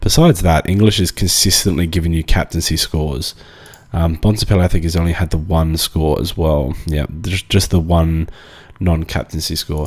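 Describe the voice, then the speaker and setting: This man's pitch is very deep and low. He talks with an Australian accent. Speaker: fantasy football analyst. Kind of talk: casual talk to camera.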